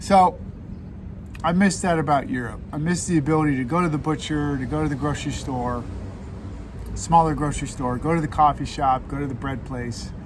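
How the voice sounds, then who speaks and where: A man speaks at a fairly quick pace in a fairly high pitch with ordinary pitch variation, and there is audible room echo along with noticeable background noise. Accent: American. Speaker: cycling vlogger. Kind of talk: casual vlog monologue. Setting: outdoors. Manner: loud.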